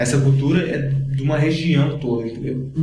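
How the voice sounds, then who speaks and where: A man speaks at a medium pitch in a monotone, flat intonation, with noticeable background noise and audible room echo. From Cuiabá, Mato Grosso, Brazil. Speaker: blogger, writer and musician. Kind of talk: podcast interview, casual chat. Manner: casual, explanatory.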